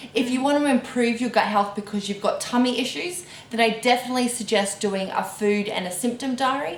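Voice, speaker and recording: Amid noticeable background noise and audible room echo, a woman talks at a fairly quick pace with hardly any pauses, a fairly high pitch and ordinary pitch variation. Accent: strong Australian. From Australia. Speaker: dietitian and gut health researcher. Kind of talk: casual interview Q&A.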